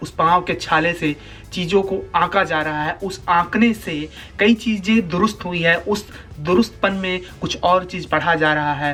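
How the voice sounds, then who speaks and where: With music in the background, a man speaks in a fairly even intonation. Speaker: spoken word poet. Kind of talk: spoken word poetry performance.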